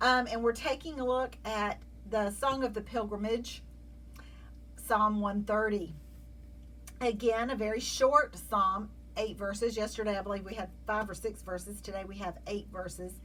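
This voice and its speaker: A moderately paced woman's voice in a Southern US accent. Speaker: Bible teacher. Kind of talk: devotional Bible study talk. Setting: video.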